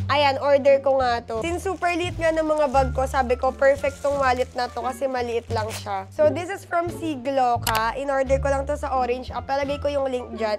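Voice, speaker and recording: Over music in the background, a woman speaks at a fairly quick pace with hardly any pauses. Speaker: beauty vlogger. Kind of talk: casual vlog, unboxing. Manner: animated.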